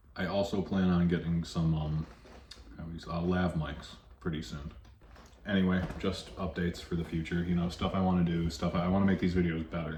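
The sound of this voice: A man with a low pitch and a slightly mellow tone talks at a fairly quick pace. His pitch moves little.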